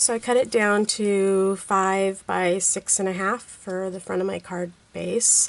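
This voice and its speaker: A woman at medium pitch, fairly slow in pace, with hardly any pauses and a monotone, flat intonation. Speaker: card-making crafter. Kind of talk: tutorial. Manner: casual, conversational.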